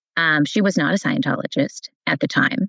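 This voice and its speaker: Speaking with an American accent at a moderate pace, this voice carries vocal fry in a dry, close recording with no echo. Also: woman. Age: 60s. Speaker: cult survivor, educator. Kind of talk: interview. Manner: hesitant, many fillers.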